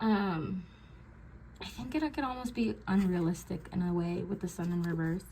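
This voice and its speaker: With a normal speaking voice, a woman talks at a fairly low pitch and moderate pace, her intonation lively. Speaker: tarot reader. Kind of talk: tarot reading. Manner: filler-heavy, many ums.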